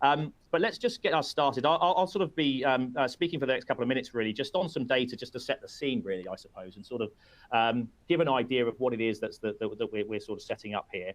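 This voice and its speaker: Lively intonation marks this very fast speech in a British accent. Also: man, medium pitch for a man. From UK. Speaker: webinar host, company representative. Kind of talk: webinar presentation. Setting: live webinar. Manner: halting, many fillers and repetitions.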